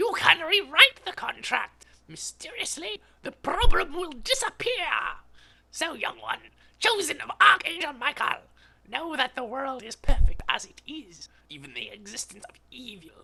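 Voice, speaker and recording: In a put-on character voice, a man reaches an extremely high pitch. His pitch swings very widely at a moderate pace. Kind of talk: mystical storytelling. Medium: read story. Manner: calm, measured, sage-like.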